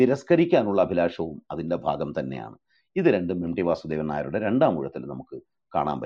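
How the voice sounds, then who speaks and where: Using a very deep, low pitch with vocal fry, a man speaks with lively intonation and big swings in loudness. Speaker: literary critic leading a book discussion. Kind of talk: lecture. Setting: online audio room.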